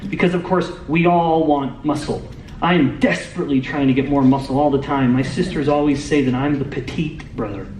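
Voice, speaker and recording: A fairly high-pitched man at a very fast pace, with ordinary pitch variation, audible room echo and noticeable background noise. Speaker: metabolic scientist. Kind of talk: lecture. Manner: loud.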